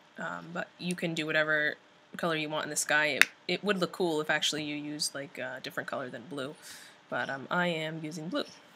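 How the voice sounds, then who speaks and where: A woman talks at a very fast pace with a very deep, low pitch and fairly even intonation. Noticeable background noise runs under her voice. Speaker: painting tutorial creator. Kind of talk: tutorial. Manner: hesitant, many fillers.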